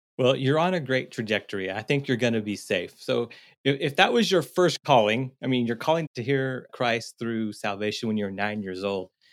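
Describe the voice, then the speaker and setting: With a normal speaking voice at medium pitch, a man talks at a moderate pace with hardly any pauses, on a very clean recording with a silent background. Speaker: podcast co-host, seminary educator. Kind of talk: podcast interview.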